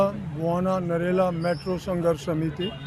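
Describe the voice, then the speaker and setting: Over noticeable background noise and audible room echo, a high-pitched man talks in a monotone, flat intonation. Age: 80s+. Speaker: campaign coordinator, protester. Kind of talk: street interview.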